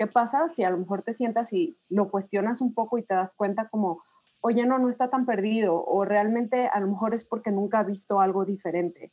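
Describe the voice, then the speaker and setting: A woman talks at a moderate pace with ordinary pitch variation. Music plays in the background. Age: 30s. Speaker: podcast guest. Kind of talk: casual chat.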